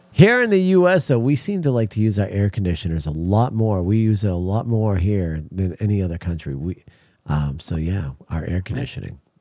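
The tone is dark and mellow. Intonation is lively, at a moderate pace. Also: man, fairly low pitch for a man. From Maine. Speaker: podcast host. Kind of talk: casual, profane banter.

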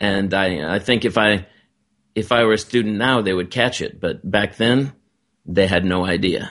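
A man with an American accent and an unremarkable speaking voice, fairly low in pitch, at a moderate pace, with ordinary pitch variation over a quiet background. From United States. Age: 50s. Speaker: author and TV producer. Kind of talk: interview.

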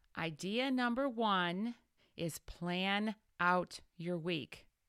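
The voice is an ordinary speaking voice. It is heard on a very clean recording with a silent background. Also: woman. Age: 40s. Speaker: business coach and podcast host. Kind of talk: solo podcast monologue. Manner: warm, encouraging.

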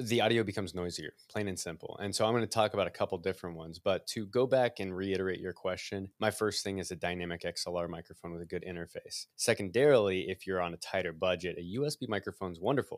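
With a Midwestern American accent, a man speaks at a very fast pace with a very deep, low pitch, ordinary pitch variation and hardly any pauses. The recording is very clean with a silent background, and the sound is dry and close with no echo. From US Midwest. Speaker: microphone company representative. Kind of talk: interview.

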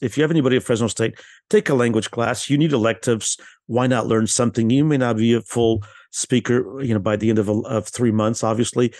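Against a quiet background, a man speaks in an unremarkable speaking voice at a medium pitch. His intonation is fairly even, and the sound is dry and close with no echo. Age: 60s. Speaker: university institute director and publisher. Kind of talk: casual interview.

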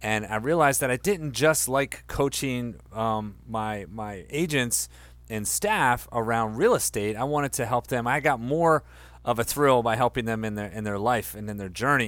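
A man with an American accent speaks at a moderate pace in an ordinary speaking voice, medium in pitch with ordinary pitch variation, in a very clean recording with a silent background. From Delaware, US. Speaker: life coach and school co-founder. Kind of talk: interview.

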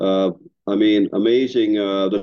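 With fairly even intonation, a man speaks in a plain, everyday voice. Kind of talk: prayer and casual chat. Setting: video call.

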